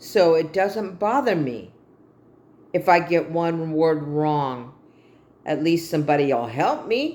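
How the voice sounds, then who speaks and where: A woman with a fairly low voice speaks at a very slow pace, leaving long, frequent pauses. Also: lively intonation. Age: 60s. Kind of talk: personal vlog monologue. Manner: halting.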